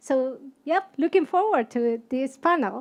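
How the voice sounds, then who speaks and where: A speaker with a Spanish accent talks at a moderate pace. The background is quiet. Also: woman. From Argentina. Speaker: HR consultant and career coach. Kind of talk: panel discussion.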